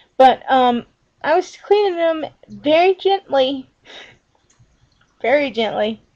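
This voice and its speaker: A woman speaks loudly at a high pitch. She goes very slowly, with long, frequent pauses. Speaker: vlogger. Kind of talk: casual chat. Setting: laptop webcam video. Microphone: laptop built-in camera.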